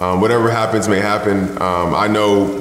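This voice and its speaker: A man speaks at a fairly quick pace. Audible room echo is present. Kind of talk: interview answer. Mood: calm, matter-of-fact. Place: home room.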